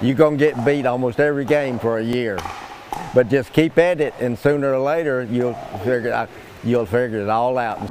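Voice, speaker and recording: Noticeable background noise sits behind a man's voice. He speaks at a fairly quick pace and a medium pitch. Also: fairly even intonation. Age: 80s+. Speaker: senior pickleball champion. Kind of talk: interview. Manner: halting.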